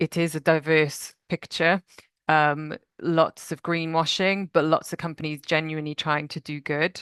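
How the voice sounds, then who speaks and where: A woman talks in a very deep, low voice with monotone, flat intonation at a moderate pace, the sound dry and close with no echo against a quiet background. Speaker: nature finance professional at a national park. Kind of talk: conference presentation.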